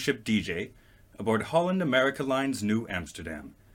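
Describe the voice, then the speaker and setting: Lively intonation and vocal fry mark this man's medium-pitched voice. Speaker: podcast host. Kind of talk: interview.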